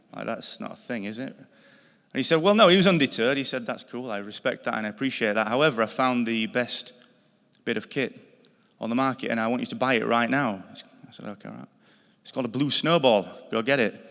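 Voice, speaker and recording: A man with a Yorkshire accent and a medium pitch speaks at a very fast pace, with ordinary pitch variation and big swings in loudness. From northern England, Yorkshire. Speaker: podcast company founder, award inductee. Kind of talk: acceptance speech.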